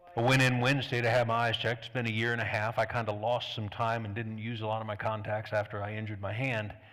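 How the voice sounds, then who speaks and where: A man's medium-pitched, monotone, flat delivery at a very fast pace with hardly any pauses, amid audible room echo. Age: 60s. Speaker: pastor. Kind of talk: sermon. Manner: conversational.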